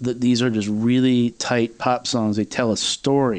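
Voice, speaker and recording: A man with an American accent has an ordinary speaking voice at a medium pitch. He speaks at a moderate pace against a quiet background. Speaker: music podcast host. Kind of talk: casual interview.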